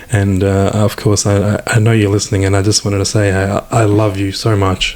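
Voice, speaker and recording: A man talks at a fairly quick pace and a fairly low pitch, with monotone, flat intonation. His loudness stays very even, and there is noticeable background noise. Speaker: former homophobe sharing his story. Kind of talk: interview testimony. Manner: halting, many repetitions.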